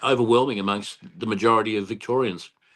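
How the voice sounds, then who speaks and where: Against a quiet background, a man with an Australian accent speaks at a fairly quick pace in a fairly low pitch with fairly even intonation. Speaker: political candidate. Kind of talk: interview. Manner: halting.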